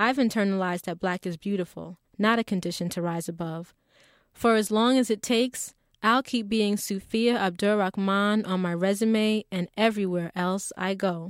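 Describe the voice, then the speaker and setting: A woman's plain, everyday voice at medium pitch and moderate pace, fairly even in intonation, in a dry, close sound with no echo and a very clean recording against a silent background. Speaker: essayist reading her own essay. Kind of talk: literary audiobook reading, a personal essay read aloud. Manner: earnest, proud, measured and expressive.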